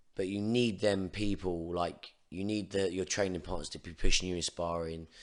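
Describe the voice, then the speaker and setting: A man with a very deep, low voice and an English accent speaks at a moderate pace with fairly even intonation. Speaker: Muay Thai coach. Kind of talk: casual chat. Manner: can't shout loud.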